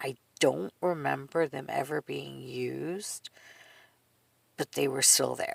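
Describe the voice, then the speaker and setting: Using a raspy, put-on character voice, a woman talks at a fairly slow pace. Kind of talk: casual vlog storytelling. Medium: solo performance. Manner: rambling, conversational, frequent laughs.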